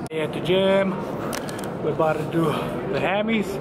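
A man at a moderate pace with ordinary pitch variation, loud background noise behind him. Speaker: vlogger. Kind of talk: casual vlog chat. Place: gym. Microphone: phone near.

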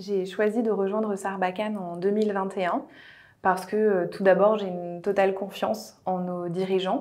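A woman talks in a monotone, flat intonation at medium pitch. Her pace is fairly slow. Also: quiet background. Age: 30s. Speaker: HR director. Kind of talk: corporate recruitment video testimony. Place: office. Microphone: lapel.

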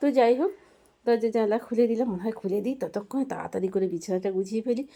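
This woman's voice has a dark, mellow tone, and her pitch varies in an ordinary way. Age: 50s. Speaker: homemaker vlogger. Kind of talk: casual vlog narration. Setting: at home. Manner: chatty.

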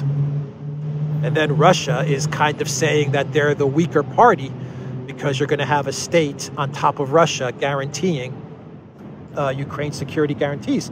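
At a moderate pace, a man with a fairly high voice speaks in a monotone, flat way, in a dry sound with no echo and noticeable background noise. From Cyprus. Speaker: political news commentator. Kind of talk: solo video news commentary. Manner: hesitant, many fillers. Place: street. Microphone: phone near.

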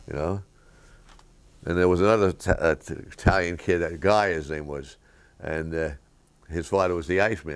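With a New York accent, a man talks in a very deep, low pitch and fairly even intonation. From New York City, Lower East Side. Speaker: interviewee recalling childhood. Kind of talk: interview answer. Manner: casual, anecdotal storytelling. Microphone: camera far.

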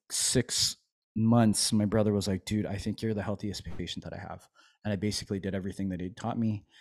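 A man with a dark, mellow tone speaks at a fairly low pitch with fairly even intonation. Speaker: chiropractor and army veteran; podcast host, chiropractor as guest mentor. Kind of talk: casual interview chat. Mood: relaxed, reflective. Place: home room. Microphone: studio mic.

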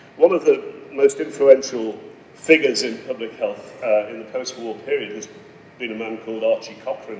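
Audible room echo and light background noise surround a man as he talks. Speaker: keynote speaker. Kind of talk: lecture. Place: hall. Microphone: podium.

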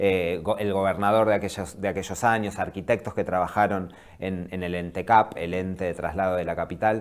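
A man with a very deep, low pitch talks at a moderate pace in a monotone, flat intonation, with hardly any pauses. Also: quiet background. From Viedma, Patagonia, Argentina; Argentina. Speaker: documentary film director; guest. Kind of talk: interview. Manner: halting. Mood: calm, thoughtful. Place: studio. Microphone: lapel.

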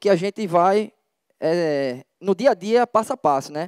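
A man talks at a moderate pace with a high pitch. His voice is heard with a dry sound with no echo over a quiet background. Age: 30s. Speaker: hip hop dance teacher and community organizer; hip hop dance teacher. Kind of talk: public presentation. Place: tent. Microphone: handheld.

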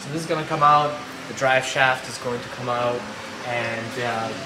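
Moderate-paced speech from a man over noticeable background noise. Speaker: presenter. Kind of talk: tutorial. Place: garage. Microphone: camera far.

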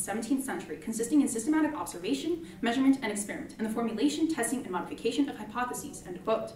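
A woman's high voice at a very fast pace, with very wide pitch swings, audible room echo and light background noise. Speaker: student debater. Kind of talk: debate speech. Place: classroom.

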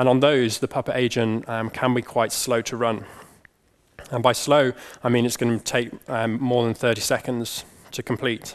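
A man speaks at a moderate pace in a monotone, flat voice. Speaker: conference speaker. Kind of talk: technical conference talk. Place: hall.

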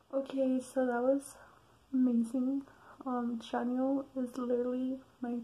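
A woman whispers quietly at a very slow pace. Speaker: vlogger. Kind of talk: casual talk to camera. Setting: late at night, recorded at home. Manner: whispered, quiet. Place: home room. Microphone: webcam.

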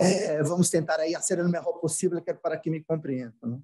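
A man with a Portuguese accent, high in pitch with a dark, mellow tone, at a moderate pace with ordinary pitch variation, long, frequent pauses and a quiet background. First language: Portuguese (speaking Spanish). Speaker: finance executive; panelist. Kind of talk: conference presentation. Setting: video call. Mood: friendly, apologetic. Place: office. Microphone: video call.

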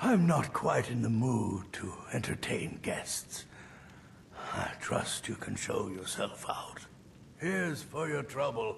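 A man whispers at a fairly slow pace amid clear background noise. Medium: machinima. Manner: curt, dismissive.

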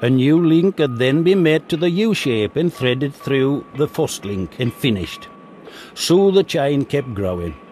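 A man at a fairly high pitch with very wide pitch swings, fairly slow, over noticeable background noise. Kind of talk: documentary narration.

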